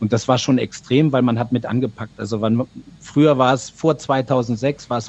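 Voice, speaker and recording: His intonation stays monotone and flat. The man's pitch is medium. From Argentina, of East Frisian family. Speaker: TV reporter. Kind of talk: casual interview.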